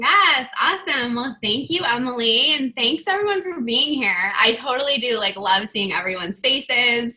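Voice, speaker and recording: A woman speaks at a high pitch with very wide pitch swings and hardly any pauses. Noticeable background noise runs underneath. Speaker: online fitness coach giving a talk. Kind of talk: team video call presentation. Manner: fast.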